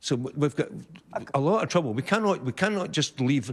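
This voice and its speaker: Speaking at a fairly quick pace, a man's voice swings very widely in pitch. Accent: Scottish. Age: 70s. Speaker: audience member. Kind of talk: audience question at televised debate. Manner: halting.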